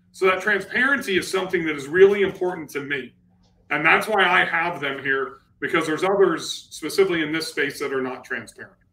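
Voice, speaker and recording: A bright, sharp tone at a fairly quick pace, with ordinary pitch variation. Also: man, high pitch for a man. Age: 40s. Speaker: real estate investor and channel host; livestream host. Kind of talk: live-streamed panel discussion. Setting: live stream with online audience. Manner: animated. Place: office. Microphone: webcam.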